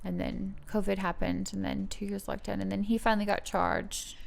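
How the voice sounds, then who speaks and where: Someone talks at a moderate pace in an Australian accent. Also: woman. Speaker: model. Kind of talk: casual chat. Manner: halting.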